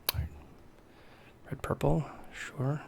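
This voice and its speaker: A man speaks in a somewhat breathy voice. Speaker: card game streamer and player. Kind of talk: live gameplay commentary. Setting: live stream. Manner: monotone.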